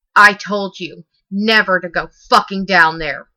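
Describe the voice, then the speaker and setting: In a put-on character voice, a female-sounding speaker growls at a middle pitch with an angry tone. The pace is moderate. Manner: snarling, angry.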